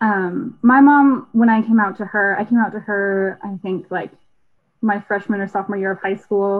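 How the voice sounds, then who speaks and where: In a normal speaking voice with an American accent, the speaker keeps a moderate pace and fairly even intonation. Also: woman, medium pitch for a woman. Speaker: engineering student. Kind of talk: casual chat.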